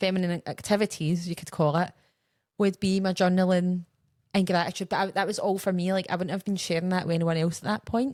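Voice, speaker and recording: A woman talks with a Scottish accent at a fairly quick pace. Her intonation stays monotone and flat. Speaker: podcast co-host. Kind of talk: casual chat.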